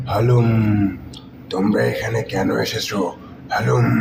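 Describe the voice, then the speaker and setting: A cartoonish character voice from a man, growling at a medium pitch, with clear background noise. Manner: growls "halum" between phrases.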